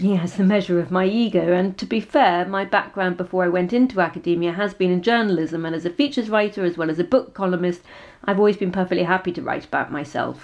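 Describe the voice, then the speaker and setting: Very fast speech with hardly any pauses and ordinary pitch variation. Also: woman, medium pitch for a woman. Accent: English. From England. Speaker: author and PhD researcher. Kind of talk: talk about own memoir.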